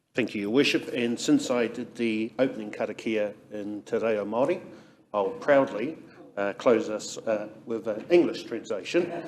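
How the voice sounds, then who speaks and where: Noticeable background noise sits under a man speaking at a moderate pace and medium pitch, with ordinary pitch variation. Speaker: city councillor. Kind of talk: council meeting closing blessing.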